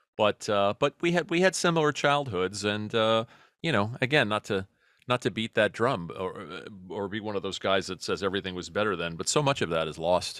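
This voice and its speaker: A man with a New York accent talks at a fairly quick pace. His fairly low voice has a dry, close sound with no echo. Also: lively intonation. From New York City, Queens. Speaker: comedy writer and podcaster. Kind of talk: casual interview chat.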